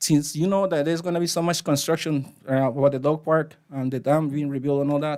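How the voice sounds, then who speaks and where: In a very clean recording with a silent background, a man with a Spanish accent talks at a fairly quick pace, his fairly high voice keeping fairly even intonation. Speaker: resident speaking at public comment. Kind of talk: public comment at council meeting. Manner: halting.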